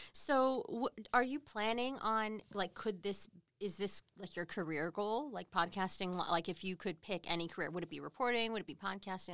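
In a normal speaking voice, the speaker keeps a moderate pace with hardly any pauses and ordinary pitch variation. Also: woman, medium pitch for a woman. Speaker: morning TV news host. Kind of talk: casual interview chat. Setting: livestreamed on social media.

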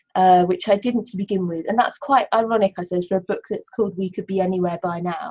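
A woman, somewhat breathy, speaks at a fairly quick pace. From Cornwall, England. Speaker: poet and novelist. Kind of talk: interview about her writing, with poetry readings. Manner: hesitant, many fillers.

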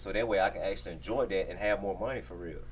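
A man speaks over noticeable background noise. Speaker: clothing designer. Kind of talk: interview. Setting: studio.

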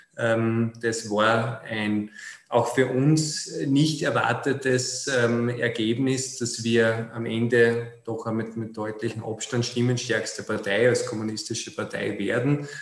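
A man talks at a very slow pace with fairly even intonation and a medium pitch. The recording carries noticeable background noise and audible room echo. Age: 30s. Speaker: city councillor and politician. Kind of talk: interview.

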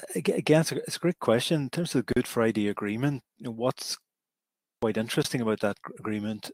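A man with a Derry accent speaks at medium pitch in a very clean, dry, close recording with a silent background and no echo. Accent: Northern Irish (Derry). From Northern Ireland, Derry. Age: 50s. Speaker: law professor. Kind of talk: interview.

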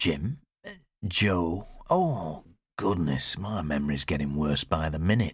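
A man's slow, extremely low, husky and rough put-on character voice with lively intonation, in a very clean recording with a silent background

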